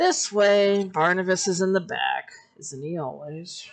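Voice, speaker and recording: A woman's put-on character voice, medium in pitch, at a fairly slow pace. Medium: actual play. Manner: sneering.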